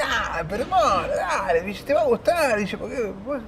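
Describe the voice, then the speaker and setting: Noticeable background noise fills the clip. A man talks through it at a moderate speed. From Argentina, Buenos Aires. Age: 60s. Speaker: musician. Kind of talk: interview.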